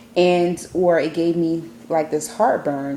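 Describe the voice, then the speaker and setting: Noticeable background noise is present. A woman with a fairly low pitch speaks at a fairly slow pace. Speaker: weight-loss surgery vlogger. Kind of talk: casual vlog.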